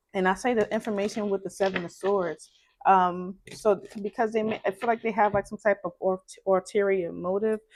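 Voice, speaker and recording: A woman talks at a fairly quick pace and medium pitch with ordinary pitch variation, the sound dry and close with no echo on a very clean recording with a silent background. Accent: Brooklyn. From Brooklyn, New York. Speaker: tarot reader. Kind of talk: tarot reading. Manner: casual, conversational.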